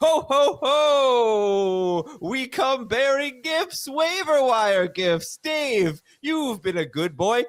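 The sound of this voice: In a put-on character voice at an extremely high pitch, a man speaks at a very slow pace on a very clean recording with a silent background.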